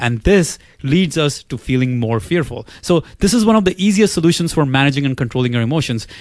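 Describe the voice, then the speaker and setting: With an unremarkable speaking voice, a man talks at a fairly quick pace, his fairly high pitch marked by lively intonation. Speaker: video creator. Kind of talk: educational video presentation. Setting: online video. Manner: clear, instructional.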